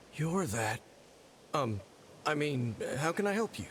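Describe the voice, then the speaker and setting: Putting on a character voice, a man speaks fairly high at a moderate pace, with clear background noise. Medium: video game. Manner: blunt, swears freely.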